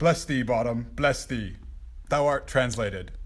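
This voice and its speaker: A put-on character voice from a man, medium in pitch, moderate in pace. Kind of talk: Shakespearean comic acting. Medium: stage play. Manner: fussy, excitable.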